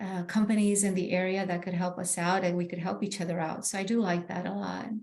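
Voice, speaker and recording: A woman's very fast, monotone, flat delivery in a Spanish accent, with audible room echo. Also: medium pitch for a woman. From Bolivia, then New York. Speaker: real estate agent. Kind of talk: interview. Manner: halting, many fillers.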